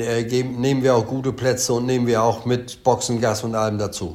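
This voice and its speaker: With audible room echo, a man speaks at a moderate pace and with fairly even intonation. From East Frisia, northern Germany. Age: 70s. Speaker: haulage company owner. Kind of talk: interview. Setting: video call. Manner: hesitant, many fillers.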